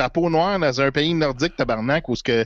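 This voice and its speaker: A moderate pace in a Quebec accent, with ordinary pitch variation, a dry, close sound with no echo, and a quiet background. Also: man. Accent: Québécois French. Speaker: political commentator. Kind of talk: casual chat. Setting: at home.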